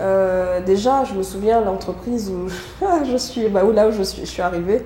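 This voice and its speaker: A woman talks at a moderate pace with medium pitch and fairly even intonation. Audible room echo and noticeable background noise are present. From Côte d'Ivoire. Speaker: HR consultancy founder. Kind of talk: podcast interview testimony.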